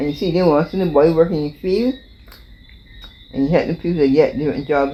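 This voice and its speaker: Over noticeable background noise, a woman with a Barbadian accent talks at a very fast pace, her fairly low voice full of lively intonation. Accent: Barbadian (Bajan). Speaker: interviewee, elder recalling history. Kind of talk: interview testimony.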